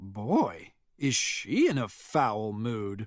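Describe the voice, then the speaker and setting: This is a put-on character voice. It sits at a low pitch. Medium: read story.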